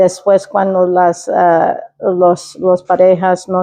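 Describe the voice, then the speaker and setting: Very slow speech from a woman, medium in pitch. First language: English (speaking Spanish). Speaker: interview guest, state employee. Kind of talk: personal story interview. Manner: halting, many fillers and code-switching.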